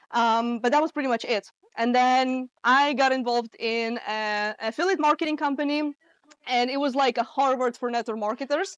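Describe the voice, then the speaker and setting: The sound is dry and close, with no echo. A woman speaks at a high pitch with ordinary pitch variation. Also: moderate pace. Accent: Russian. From Russia. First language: Russian. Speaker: marketing coach. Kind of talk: talk to a live audience. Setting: in-person event with audience. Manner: casual, with many fillers.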